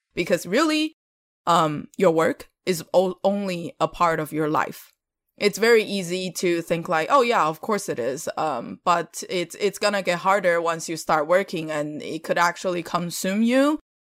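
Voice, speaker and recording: A fairly slow delivery with a Chinese accent, dry and close with no echo, on a very clean recording with a silent background. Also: woman, fairly low pitch for a woman, ordinary pitch variation. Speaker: podcast co-host, mentor. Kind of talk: casual conversation.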